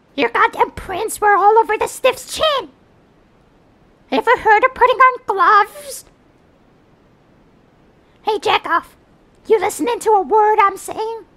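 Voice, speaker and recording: A put-on character voice at an extremely high pitch, a moderate pace and long, frequent pauses. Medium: dub. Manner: aggressive, shouting.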